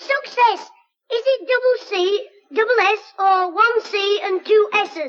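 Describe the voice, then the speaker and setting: A woman puts on a squeaky character voice at an extremely high pitch. She speaks at a fairly slow pace with ordinary pitch variation. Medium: old radio play. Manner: brusque, correcting.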